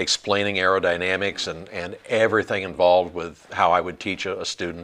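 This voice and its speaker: Flat and monotone, a man with a very deep, low pitch speaks at a fairly quick pace in a bright, sharp tone. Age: 60s. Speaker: flight instructor. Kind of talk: casual chat. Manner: halting.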